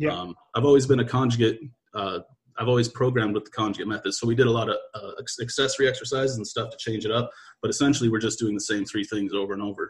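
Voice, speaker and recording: This man talks at a very fast pace with a somewhat breathy voice. His intonation stays fairly even. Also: medium pitch for a man. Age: 20s. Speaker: athletic strength coach. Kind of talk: casual chat. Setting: video call.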